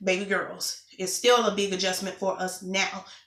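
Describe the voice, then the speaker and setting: Over noticeable background noise and audible room echo, a woman speaks at medium pitch and a moderate pace. Her intonation is monotone and flat. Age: 20s. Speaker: vlogger. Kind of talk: casual vlog update.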